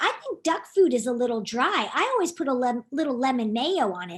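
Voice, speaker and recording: Here a woman uses a put-on character voice pitched high. She goes at a fairly quick pace. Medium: read story.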